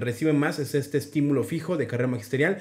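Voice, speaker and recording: Someone talks very fast against a quiet background. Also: man. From Mexico City. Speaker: teacher and education YouTuber. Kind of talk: tutorial. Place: home room. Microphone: webcam.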